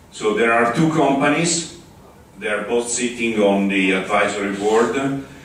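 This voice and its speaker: In a room with audible echo and noticeable background noise, a man with an Italian accent speaks at medium pitch with ordinary pitch variation. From Italy. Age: 60s. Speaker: open-source community spokesperson. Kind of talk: conference talk. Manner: halting.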